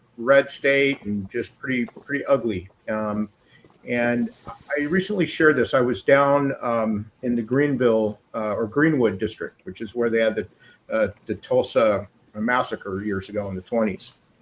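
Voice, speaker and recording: An ordinary speaking voice from a man with an American accent, medium pitch, ordinary pitch variation and a fairly slow pace. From US West Coast (Southern California, Goleta). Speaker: former church member. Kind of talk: casual chat.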